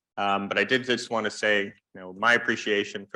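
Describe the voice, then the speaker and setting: Over a quiet background, a man with a fairly low pitch and a bright, sharp tone speaks at a very fast pace. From Canada, Vancouver. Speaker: workshop moderator. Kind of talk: opening remarks at a conference. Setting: conference room with audience, using microphone.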